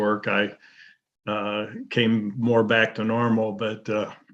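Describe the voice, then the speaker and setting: A man speaks in a fairly low voice with monotone, flat intonation. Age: 60s. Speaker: community member giving feedback. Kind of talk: testimony. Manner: halting.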